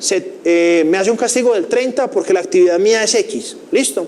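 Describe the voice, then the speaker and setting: Over noticeable background noise, a man with a high pitch swings very widely up and down. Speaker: finance teacher. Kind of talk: lecture. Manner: fast.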